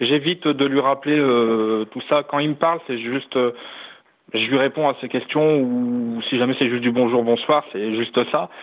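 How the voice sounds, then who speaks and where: With a normal speaking voice, a man speaks at a fairly slow pace in a medium pitch with ordinary pitch variation. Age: 20s. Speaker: caller. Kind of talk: phone-in call.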